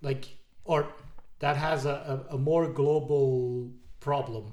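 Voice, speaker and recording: A man with a non-native accent speaks at a medium pitch in a monotone, flat intonation. His tone is dark and mellow, and somewhat breathy. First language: not English. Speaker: IT podcast co-host. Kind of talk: casual chat.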